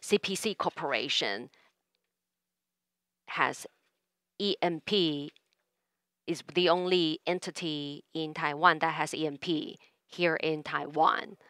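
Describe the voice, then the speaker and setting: A woman speaks very slowly in a fairly low, bright and sharp voice with long, frequent pauses. The recording is very clean with a silent background and a dry, close sound with no echo. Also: ordinary pitch variation. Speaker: conference speaker for co-organizing company. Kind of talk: formal welcome speech. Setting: auditorium with audience. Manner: halting with fillers.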